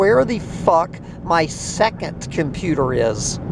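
The speech comes at a very slow pace with a dry sound, no echo, and noticeable background noise. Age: 60s. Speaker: farm owner and video blogger. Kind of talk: casual rant monologue. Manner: halting with many fillers and repetitions. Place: car. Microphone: phone near.

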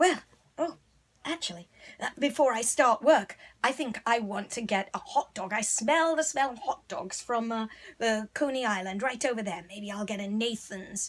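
A female-sounding voice pitched fairly high for a woman. It is a put-on character voice. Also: moderate pace. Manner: brisk, bossy.

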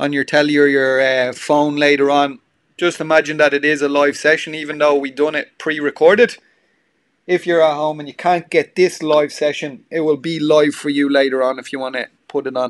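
A man with an Irish accent speaks at a fairly high pitch. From Ireland. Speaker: gym trainer. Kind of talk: pre-class livestream chat and announcements. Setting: at home on a two-way call. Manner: chatty, filler-heavy, upbeat. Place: home room.

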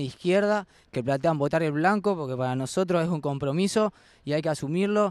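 This man has an unremarkable speaking voice. He keeps a moderate pace and ordinary pitch variation. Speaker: student activist. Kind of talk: campaign statement.

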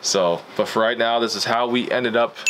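Noticeable background noise behind a man speaking at a moderate pace. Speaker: football coach vlogger. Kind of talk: casual vlog chat. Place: home room.

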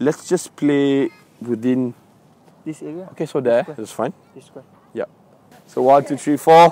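A man speaks at a fairly slow pace with long, frequent pauses, ordinary pitch variation and big swings in loudness, the sound dry with no echo. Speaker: youth football coach. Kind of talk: coaching instructions. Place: open country. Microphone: lapel.

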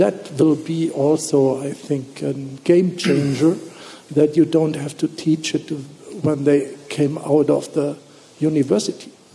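The voice has a dark, mellow tone with a husky, rough edge and vocal fry, moving at a slow pace with fairly even intonation. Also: man, fairly high pitch for a man.

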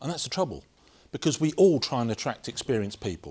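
A man speaks against a quiet background. His intonation is lively. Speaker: conference speaker. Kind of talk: presentation talk. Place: meeting room.

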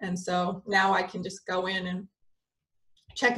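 Against a quiet background, a woman with an American accent speaks in a somewhat breathy voice. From US Midwest, Michigan. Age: 40s. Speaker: spiritual channeler and energy healer. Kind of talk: casual interview chat. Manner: giggly. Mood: calm, personal storytelling. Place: home room. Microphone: video call.

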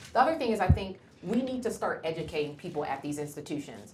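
Someone with an American accent talks at a very fast pace with lively intonation over noticeable background noise. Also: woman. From Cleveland, Ohio, US; Ohio. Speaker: physician; guest. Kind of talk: lecture. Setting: lecture hall with audience. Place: classroom. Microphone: lapel.

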